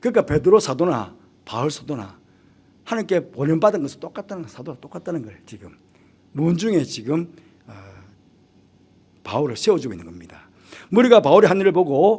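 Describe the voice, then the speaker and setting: At a moderate pace, a man speaks at a high pitch with very wide pitch swings. His loudness swings widely, and he takes long, frequent pauses. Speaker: pastor. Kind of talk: sermon. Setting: church midweek service.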